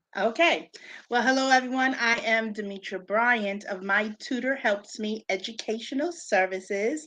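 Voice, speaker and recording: A woman with a New York accent has a bright, sharp tone, speaking at a moderate pace with a fairly high pitch and ordinary pitch variation. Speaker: special education teacher and tutor. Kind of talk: live-stream interview.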